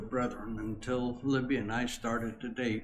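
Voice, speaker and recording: Audible room echo follows a man who speaks at a fairly slow pace. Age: 80s+. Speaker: longtime church member. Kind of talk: interview. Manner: halting.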